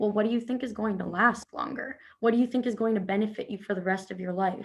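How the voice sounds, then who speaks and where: This somewhat breathy voice races along at a very fast pace with fairly even intonation. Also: woman, fairly high pitch for a woman. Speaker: personal trainer. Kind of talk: casual chat.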